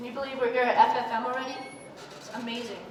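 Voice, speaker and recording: A woman speaks at a moderate pace in a high pitch with a passionate tone but monotone, flat intonation, against noticeable background noise. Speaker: aquarium store owner, aquaculture speaker. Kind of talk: live conference talk. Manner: projected, passionate.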